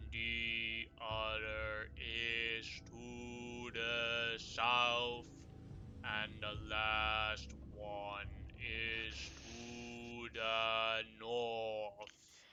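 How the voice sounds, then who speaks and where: At a very slow pace, a man performs a put-on character voice at a medium pitch against clear background noise. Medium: actual play. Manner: calm, plain-spoken.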